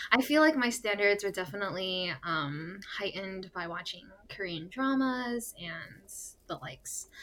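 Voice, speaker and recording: Speaking with an American accent, a woman with an unremarkable speaking voice and medium pitch uses lively intonation and big swings in loudness. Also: moderate pace. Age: 20s. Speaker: podcast co-host, pharmacy student. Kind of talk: casual chat. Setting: recording in a closet.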